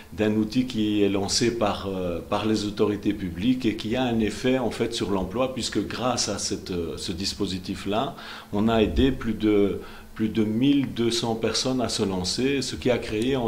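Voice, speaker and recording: A man's fairly low voice at a fairly slow pace, with ordinary pitch variation, amid noticeable background noise and audible room echo. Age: 50s. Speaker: politician, election candidate. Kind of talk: TV interview. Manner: halting, many fillers.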